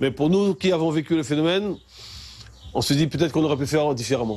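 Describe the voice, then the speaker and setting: Over noticeable background noise, a man talks at a very fast pace and a fairly high pitch, with ordinary pitch variation. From French Guiana, Kourou. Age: 60s. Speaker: local resident interviewee. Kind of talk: interview testimony. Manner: halting, repeats words.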